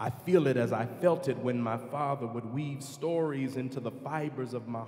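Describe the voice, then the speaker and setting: A solemn tone with fairly even intonation, over noticeable background noise. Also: man. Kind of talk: spoken prayer within a choral work, solemn dying-elder monologue. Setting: concert performance, music recording. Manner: solemn, slow, reverent, heartfelt.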